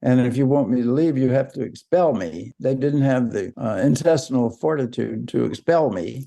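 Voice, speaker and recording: In an Alabama accent, the speaker uses a dark, mellow tone at a moderate pace, with hardly any pauses. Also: man, medium pitch for a man, lively intonation. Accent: southern US (Alabama). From US South, south Alabama. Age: 80s+. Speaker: civil rights activist. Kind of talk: interview storytelling.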